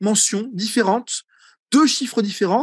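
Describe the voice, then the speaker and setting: At an extremely high pitch, a man speaks at a moderate pace, the sound dry with no echo and the background quiet. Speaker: egyptology professor; egyptology professor presenting. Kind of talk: seminar lecture. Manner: hesitant with many fillers. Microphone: video call.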